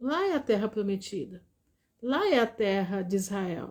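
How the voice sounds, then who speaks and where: Lively in intonation, the woman speaks at a very slow pace. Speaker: lay preacher. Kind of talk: live-stream Bible talk.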